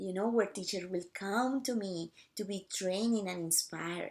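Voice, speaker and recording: A woman with a non-native accent speaks at a fairly slow pace, her medium-pitched voice carrying lively intonation. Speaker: missionary teacher. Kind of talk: casual talk to camera.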